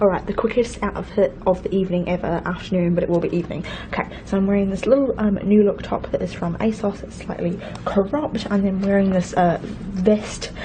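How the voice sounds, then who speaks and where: Noticeable background noise sits behind a woman of medium pitch. She talks at a very fast pace with fairly even intonation. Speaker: vlogger. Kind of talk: casual vlog.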